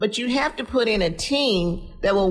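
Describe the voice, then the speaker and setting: A woman speaks in a normal speaking voice with an American accent. Her pitch is medium, with ordinary variation. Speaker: city council member. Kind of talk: radio panel discussion.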